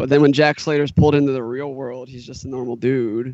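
Medium pitch and fairly even intonation from a man with a plain, everyday voice. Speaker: podcast co-host. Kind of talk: casual banter, movie discussion.

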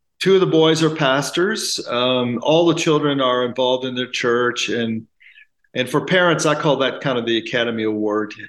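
A man speaks at a moderate pace with a fairly bright tone and ordinary pitch variation. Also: medium pitch for a man.

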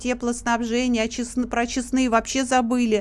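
A woman speaks at a high pitch and a moderate pace in a monotone, flat way. The background is quiet. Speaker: activist and public chamber member. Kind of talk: radio interview answering questions. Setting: radio studio, live.

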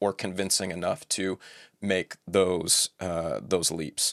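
Recorded very cleanly against a silent background with a dry, close sound with no echo, a man speaks at a fairly slow pace. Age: 40s. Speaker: biblical scholar. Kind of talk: casual chat.

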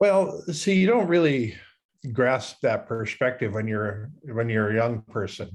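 A man's medium-pitched voice with an American accent, very wide pitch swings and a fairly slow pace against a quiet background. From US Midwest, rural South Dakota. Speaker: futurist and public speaker. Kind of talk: interview. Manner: halting, many fillers.

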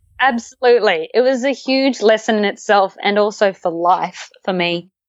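Moderately paced speech in an Australian accent with ordinary pitch variation. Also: woman, fairly high pitch for a woman. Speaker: former musical theatre performer, hiker. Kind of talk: casual chat. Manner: animated.

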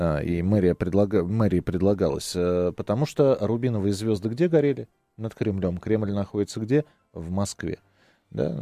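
This man's intonation is lively, with a dark, mellow tone. The sound is dry and close, with no echo. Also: moderate pace. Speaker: radio host. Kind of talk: casual chat. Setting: studio.

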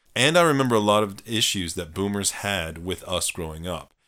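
A man with an unremarkable speaking voice, fairly low in pitch, with lively intonation and a moderate pace, in a very clean recording over a silent background. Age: 40s. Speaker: psychology podcast co-host, doctor. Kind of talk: casual chat.

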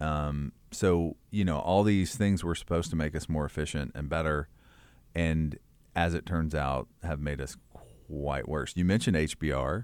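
At a moderate pace, a man with a very deep, low pitch speaks with a Kentucky accent. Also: ordinary pitch variation, very clean recording, silent background. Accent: Southern US (Kentucky). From rural Kentucky. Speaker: church leadership consultant. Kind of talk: interview.

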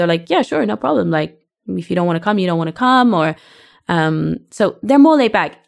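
On a very clean recording with a silent background, a woman speaks with a British accent. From UK. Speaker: podcast co-host, English teacher. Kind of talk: casual chat.

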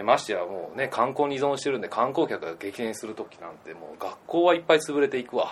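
A man rushes along at a very fast pace with hardly any pauses, his pitch swinging very widely and his loudness shifting a lot. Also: medium pitch for a man. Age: 20s. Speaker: backpacker and entrepreneur. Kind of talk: interview.

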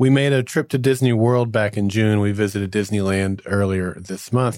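In a very clean recording with a silent background, a man speaks at a moderate pace with a fairly low pitch, ordinary pitch variation and a plain, everyday voice. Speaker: podcast host. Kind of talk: casual chat.

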